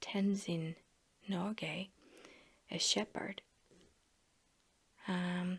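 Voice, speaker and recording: A soft-spoken woman whispers at a very slow pace, her relaxed tone somewhat breathy. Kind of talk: ASMR soft-spoken casual chat to camera while flipping a magazine. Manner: soft-spoken, whispery, relaxed.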